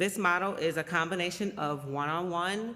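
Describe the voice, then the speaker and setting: Loud and at a fairly low pitch, a woman speaks with a bright, sharp tone. Her pace is moderate and her pitch variation ordinary. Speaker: executive director of a doula and postpartum support nonprofit. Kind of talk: appeal for a charity.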